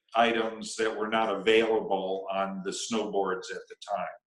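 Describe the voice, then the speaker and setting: A man talks at a fairly slow pace. Room echo is audible. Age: 60s. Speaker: snowboarding pioneer and coach. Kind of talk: interview. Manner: halting.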